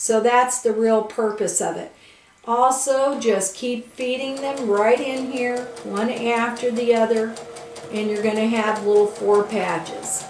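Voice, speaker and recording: At a very slow pace and fairly high pitch, a woman talks with fairly even intonation amid audible room echo and noticeable background noise. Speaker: quilting instructor. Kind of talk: tutorial. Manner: casual, conversational.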